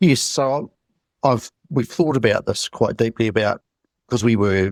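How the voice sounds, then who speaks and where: The speaker has a New Zealand accent. The sound is dry and close with no echo, a very clean recording over a silent background. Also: man. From New Zealand, Christchurch. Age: 60s. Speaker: UFO eyewitness. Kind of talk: interview.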